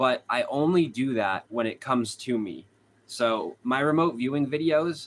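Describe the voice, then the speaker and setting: This man speaks at a medium pitch with a slight Boston accent. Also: ordinary pitch variation, moderate pace. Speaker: true crime streamer. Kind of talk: live stream chat with viewers.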